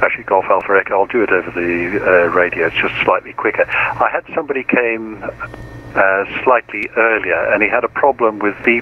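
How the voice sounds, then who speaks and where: Noticeable background noise is audible. A man's voice sits at a medium pitch. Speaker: virtual air traffic controller. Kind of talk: radio dispatch, air traffic control phraseology. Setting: online flight simulation network radio. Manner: formal, clipped, procedural, calm; helpful, explanatory when correcting.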